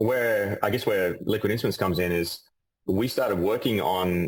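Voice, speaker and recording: His speech moves at a fairly quick pace. The man has an Australian accent. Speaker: physicist and company CEO. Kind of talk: interview.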